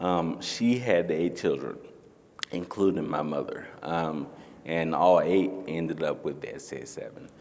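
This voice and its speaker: A man with an American accent speaks in a very deep, low pitch. His pace is fairly slow, and room echo is audible. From North Carolina. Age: 40s. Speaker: panelist with ataxia. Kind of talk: panel discussion. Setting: stage with audience.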